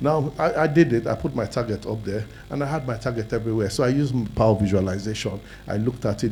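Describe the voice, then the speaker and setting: A man's somewhat breathy voice has a dark, mellow tone, medium pitch and ordinary pitch variation. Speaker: businessman, summit speaker. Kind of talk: personal testimony talk.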